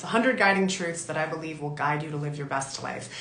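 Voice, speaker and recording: Audible room echo plus noticeable background noise behind a woman talking. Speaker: talk show host and author. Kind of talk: motivational monologue.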